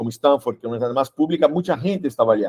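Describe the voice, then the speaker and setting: With a Brazilian accent, a man speaks in a dark, mellow tone, the sound dry and close with no echo. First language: Portuguese (speaking Spanish). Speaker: workshop instructor. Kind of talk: panel discussion. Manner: halting.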